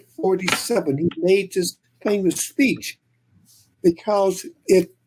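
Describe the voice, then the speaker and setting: At a very slow pace, a woman speaks at a medium pitch with lively intonation and a somewhat breathy quality. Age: 80s+. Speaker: children's book author. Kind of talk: panel discussion. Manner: halting.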